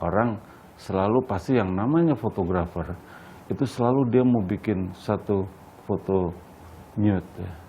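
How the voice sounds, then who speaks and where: A man talks at a moderate pace with a fairly low pitch and ordinary pitch variation. His speech has long, frequent pauses. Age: 60s. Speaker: photographer. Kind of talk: interview. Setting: at his home.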